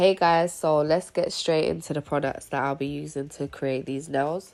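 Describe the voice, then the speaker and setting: A woman with a very deep, low voice speaks in a flat monotone while music plays in the background. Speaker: nail artist. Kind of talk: tutorial narration.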